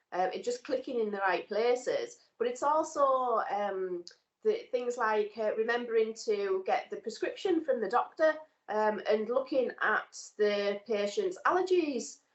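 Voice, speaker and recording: The woman talks at a fairly slow pace in a high pitch. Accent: northern English. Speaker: nursing student. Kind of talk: casual chat.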